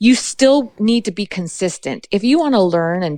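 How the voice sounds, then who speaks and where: With a western Canadian accent, this animated voice carries lively intonation in a dry, close sound with no echo. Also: woman. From British Columbia, Canada. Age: 40s. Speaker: fly fishing guide and podcast host. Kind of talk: interview conversation. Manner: fast.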